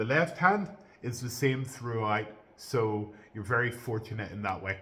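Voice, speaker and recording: A loud man at a medium pitch, bright and sharp in tone, with ordinary pitch variation and a moderate pace. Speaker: piano teacher. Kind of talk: tutorial.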